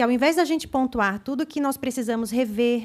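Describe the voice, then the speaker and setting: Fairly high pitch and ordinary pitch variation from a woman with a normal speaking voice, delivered at a moderate pace. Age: 30s. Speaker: council representative. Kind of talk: public hearing speech, partly read aloud. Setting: legislative assembly public hearing.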